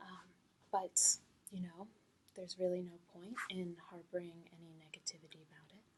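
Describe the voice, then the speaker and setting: At a middling tempo, this speaker talks softly. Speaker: ASMR creator. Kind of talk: soft-spoken ASMR tutorial. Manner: soft-spoken.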